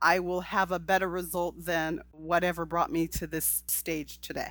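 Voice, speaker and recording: Here a woman speaks in a normal speaking voice, fairly low in pitch, at a moderate pace. The recording is very clean, with a silent background. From California. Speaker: podcast host. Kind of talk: interview.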